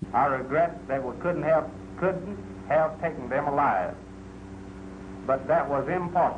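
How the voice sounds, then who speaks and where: Against noticeable background noise, a man with an American accent speaks at a fairly slow pace, with long, frequent pauses, a fairly high pitch and lively intonation. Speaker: sheriff's deputy. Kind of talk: archival statement.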